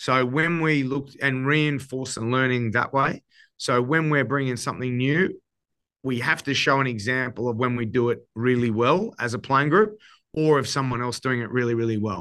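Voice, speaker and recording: Against a quiet background, a man with an Australian accent speaks at a moderate pace in a bright, sharp tone. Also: medium pitch for a man, ordinary pitch variation. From Queensland, Australia. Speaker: rugby coach. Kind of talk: casual interview chat.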